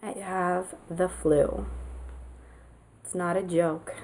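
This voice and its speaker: A woman at a very slow pace. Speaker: TV show reviewer. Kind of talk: casual talk to camera.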